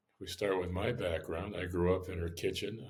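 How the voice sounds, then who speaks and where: Somewhat breathy and very deep in pitch, a man with an American accent speaks at a moderate pace in a monotone, flat intonation. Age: 60s. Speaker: restaurant owner. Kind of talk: interview. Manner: casual, many fillers.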